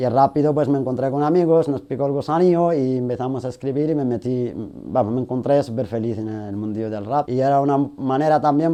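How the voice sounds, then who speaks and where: A man speaks at a fairly quick pace in a fairly high pitch. His tone is dark and mellow, and his intonation stays fairly even. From Galicia, Spain (born in Sahrawi refugee camps). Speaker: rapper and activist. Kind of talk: interview.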